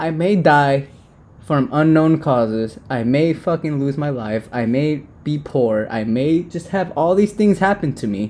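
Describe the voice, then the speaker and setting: Here a man has an unremarkable speaking voice with a fairly high pitch. His intonation is lively and his pace is fairly slow. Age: 20s. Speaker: podcast co-host. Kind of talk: casual chat.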